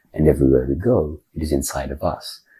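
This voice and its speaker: With vocal fry and a dark, mellow tone, a man speaks in a very deep, low pitch and fairly even intonation. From Australia. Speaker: spiritual teacher and minister. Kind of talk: podcast interview answer.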